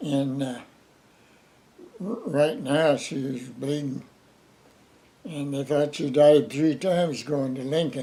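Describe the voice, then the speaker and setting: At a very slow pace with long, frequent pauses, a man with a fairly high pitch speaks in an American accent with ordinary pitch variation. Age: 90s. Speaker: retired farmer. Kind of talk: interview answer.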